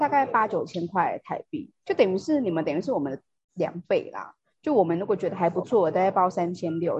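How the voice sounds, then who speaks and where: Somewhat breathy and fairly quick, a woman talks at medium pitch with lively intonation. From Taiwan. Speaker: podcast host. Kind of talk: casual chat.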